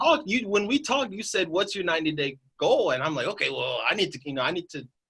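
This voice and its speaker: A man talks at a very fast pace in a high pitch with very wide swings. His tone is bright and sharp. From Northern Indiana. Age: 20s. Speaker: mobile home investor. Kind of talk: interview answer. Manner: casual, enthusiastic.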